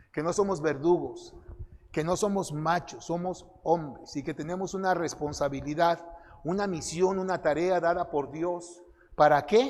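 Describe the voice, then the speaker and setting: At a fairly slow pace, a man with a high pitch holds fairly even intonation. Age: 60s. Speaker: conference speaker. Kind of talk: sermon.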